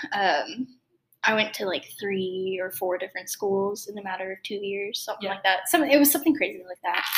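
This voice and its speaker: A woman's ordinary speaking voice at a medium pitch, fairly quick in pace, with ordinary pitch variation and big swings in loudness. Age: young. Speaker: music student. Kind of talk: casual chat.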